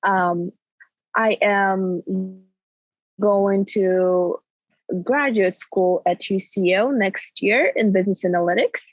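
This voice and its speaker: A woman with a Russian accent, medium in pitch, at a very slow pace with long, frequent pauses, fairly even intonation, very even loudness, and a dry, close sound with no echo. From Kazakhstan. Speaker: recent university graduate. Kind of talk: casual interview.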